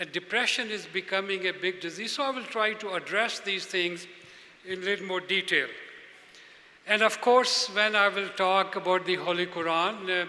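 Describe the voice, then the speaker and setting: A man speaks at a moderate pace in a raised, projected voice, high in pitch with fairly even intonation, over noticeable background noise. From Pakistan. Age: 70s. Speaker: speaker at a religious convention. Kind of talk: speech to an audience. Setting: stage with audience.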